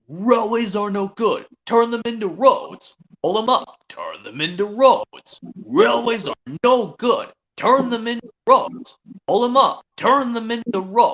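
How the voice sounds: This put-on character voice sits at a fairly high pitch and moves at a fairly slow pace.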